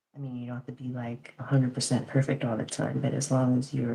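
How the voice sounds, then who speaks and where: Soft-spoken and with fairly even intonation, a woman talks in a very deep, low pitch. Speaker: reiki practitioner, podcast co-host. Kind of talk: casual podcast chat. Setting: live stream.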